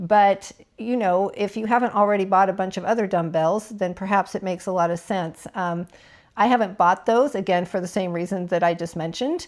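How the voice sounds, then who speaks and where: Delivered at a fairly quick pace with fairly even intonation, this is an ordinary speaking voice on a very clean recording with a silent background. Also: woman, medium pitch for a woman. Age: 50s. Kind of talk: casual talk to camera.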